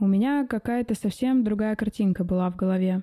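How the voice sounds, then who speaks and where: A somewhat breathy woman's voice of medium pitch with a dark, mellow tone, fairly even intonation and a moderate pace, on a very clean recording with a silent background and a dry, close sound with no echo. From Siberia, Omsk. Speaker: podcast host, designer and mentor. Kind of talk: personal monologue podcast.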